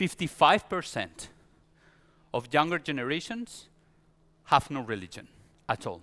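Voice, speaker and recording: Pausing long and often, a man with a Spanish accent talks at a fairly high pitch in a bright, sharp tone, with very wide pitch swings and vocal fry. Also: very clean recording, silent background. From Spain. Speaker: pastor. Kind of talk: sermon. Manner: halting.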